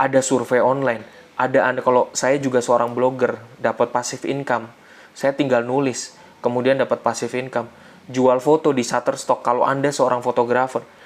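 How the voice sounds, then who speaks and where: Speaking at a fairly quick pace, a man has an ordinary speaking voice at a medium pitch. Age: 30s. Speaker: financial literacy educator. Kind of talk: online seminar talk. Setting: live online session with chat. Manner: casual, conversational.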